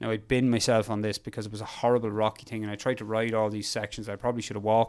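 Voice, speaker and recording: Talking at a very fast pace, a man keeps a monotone, flat intonation at a fairly low pitch. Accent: Irish. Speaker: endurance mountain biker. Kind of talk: interview storytelling.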